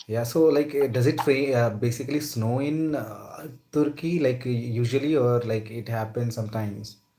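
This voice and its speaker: This man has a medium pitch and a dark, mellow, somewhat breathy tone, talking at a moderate pace with ordinary pitch variation and hardly any pauses. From India. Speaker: English practice partner. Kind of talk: casual chat.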